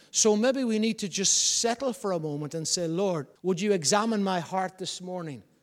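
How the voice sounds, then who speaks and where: Amid noticeable background noise, a man with a Northern Irish accent speaks at a high pitch with ordinary pitch variation. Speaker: pastor. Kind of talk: sermon; New Year sermon at a rising pitch, exhorting the congregation. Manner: emphatic, building repetitive cadence.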